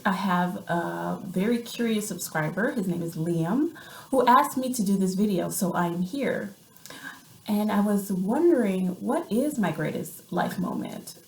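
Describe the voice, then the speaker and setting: With an American accent, a woman speaks at medium pitch and ordinary pitch variation. Her pace is fairly slow, and audible room echo is present. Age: 30s. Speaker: vlogger and writer. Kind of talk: casual vlog monologue. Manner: hesitant, many fillers.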